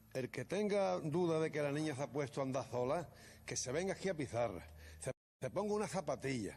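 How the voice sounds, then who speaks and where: Animated, with lively intonation, a man talks at a fairly quick pace. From Andalusia, Málaga province. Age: 60s. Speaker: grandfather of victim. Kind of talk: heated interview.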